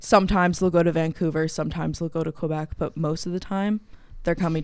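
A woman speaks at a very fast pace with a Canadian accent. Her intonation stays fairly even. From Canada, Guelph, Ontario. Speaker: student. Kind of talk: casual chat.

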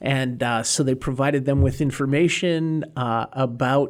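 Recorded very cleanly over a silent background, a man with an American accent uses a normal speaking voice at a medium pitch, a fairly slow pace and ordinary pitch variation. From Massachusetts, north of Boston. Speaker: former immigration judge, lawyer. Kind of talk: interview.

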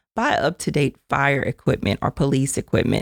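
With vocal fry and a very deep, low pitch, a woman speaks at a moderate pace in a dry, close sound with no echo. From Louisiana, Acadiana (Mamou). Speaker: government agency director. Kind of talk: interview. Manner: energetic.

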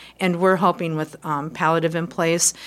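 With an American accent, the speaker goes at a fairly quick pace with fairly even intonation. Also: woman. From Quad Cities, US Midwest. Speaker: hospice community liaison. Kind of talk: interview.

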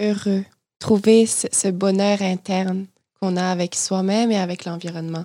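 At a fairly slow pace, a woman speaks at a medium pitch in a dark, mellow tone with monotone, flat intonation, on a very clean recording with a silent background. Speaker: podcast co-host, graduate student. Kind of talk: casual interview.

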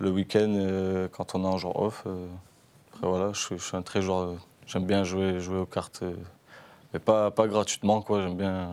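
A man speaks at a fairly slow pace in a very deep, low voice. His intonation is monotone and flat, with long, frequent pauses. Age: 30s. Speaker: professional footballer. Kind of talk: casual interview.

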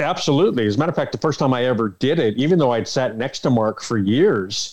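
Using an unremarkable speaking voice, this speaker talks at a fairly quick pace with lively intonation and a Canadian accent. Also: man. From Canada, Toronto. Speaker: arena public address announcer. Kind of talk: casual interview.

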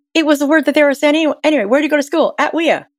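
A woman's high-pitched voice with a Canadian accent. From Ontario, Canada. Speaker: brand naming expert and author. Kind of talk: interview conversation. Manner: animated.

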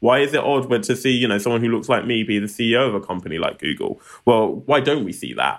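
A man with a London accent at a very fast pace, medium pitch, ordinary pitch variation and vocal fry. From Southeast London, England. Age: 30s. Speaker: tech non-profit founder. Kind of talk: interview.

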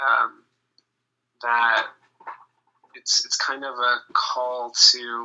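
A man with an American accent. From US Pacific Northwest (Seattle). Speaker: musician. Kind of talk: interview. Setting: phone call. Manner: halting.

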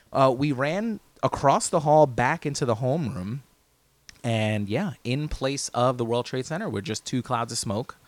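Lively in intonation, a man with an American accent speaks at a medium pitch and a moderate pace. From New Jersey (Hoboken). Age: 30s. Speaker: podcast co-host. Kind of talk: casual chat.

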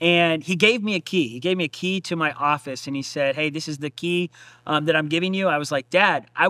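A normal speaking voice from a man, fairly high in pitch, at a fairly quick pace with ordinary pitch variation, in a very clean recording with a silent background and a dry, close sound with no echo. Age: 30s. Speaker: pastor and podcast host. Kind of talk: casual interview about his book and testimony. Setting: church stage.

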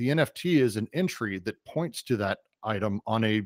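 In an ordinary speaking voice, a man with an American accent talks at medium pitch with lively intonation. The recording is very clean, with a silent background and a dry, close sound with no echo. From Colorado, US. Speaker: tech company CEO, game and VR producer. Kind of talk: interview.

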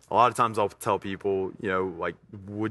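In a quiet background, a man with an Alabama accent speaks at a fairly low pitch and a fairly quick pace. His tone is bright and sharp, his intonation fairly even. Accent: Southern US (Alabama). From US South, Tuscaloosa, Alabama. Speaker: CrossFit gym owner. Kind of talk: casual interview.

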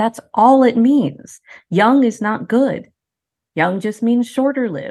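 A woman's fairly high voice with a dark, mellow tone and lively intonation at a very slow pace. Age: 50s. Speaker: professor. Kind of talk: interview.

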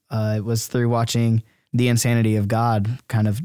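A man with an American accent and medium pitch speaks fairly quickly in a flat monotone with a dark, mellow tone. The recording is very clean with a silent background, and the sound is dry and close with no echo. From US South, Georgia, later Iowa from age 13. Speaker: university student. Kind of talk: interview testimony. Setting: studio.

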